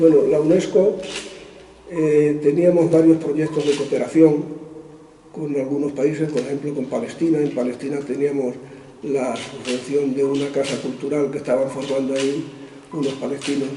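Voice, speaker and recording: Noticeable background noise sits behind a man whose intonation is fairly even. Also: moderate pace. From Spain, Extremadura (Garrovillas). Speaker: author and former UNESCO administrator. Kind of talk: interview answer.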